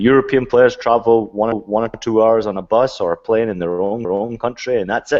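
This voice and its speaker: Intonation fairly even, a man talks at a fairly quick pace. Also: medium pitch for a man. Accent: Scottish. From Scotland. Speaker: retired footballer and play-by-play commentator. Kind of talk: casual chat.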